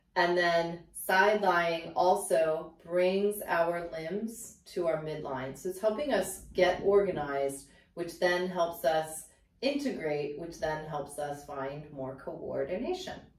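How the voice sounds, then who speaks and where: At a very slow pace, a woman with a fairly low voice speaks with big swings in loudness and audible room echo. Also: ordinary pitch variation. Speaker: pilates instructor. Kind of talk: tutorial. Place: home room.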